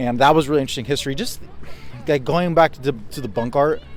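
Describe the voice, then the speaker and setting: Medium-pitched male speech over background music. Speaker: travel vlogger. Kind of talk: casual vlog talk to camera.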